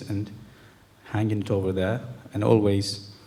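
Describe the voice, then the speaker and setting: A man speaks with a Turkish accent. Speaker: calligrapher. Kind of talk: talk to an audience. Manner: halting.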